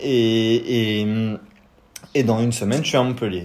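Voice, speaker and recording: A man with a medium pitch and ordinary pitch variation talks fairly slowly while noticeable background noise plays beneath him. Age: 20s. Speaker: cycling traveler, engineering graduate. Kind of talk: interview.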